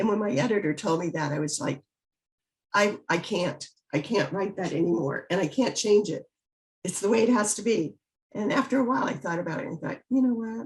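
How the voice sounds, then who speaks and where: Speaking fairly quickly, a woman has an American accent. Her voice is somewhat breathy and medium in pitch. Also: lively intonation. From US South, Biloxi, Mississippi. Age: 70s. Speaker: author. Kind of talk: interview.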